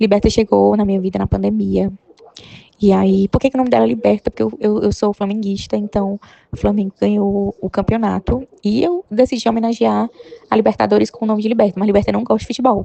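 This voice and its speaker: The sound is dry and close, without any echo. A woman speaks fairly quickly. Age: 30s. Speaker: sales representative, pet owner. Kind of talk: recorded personal testimony.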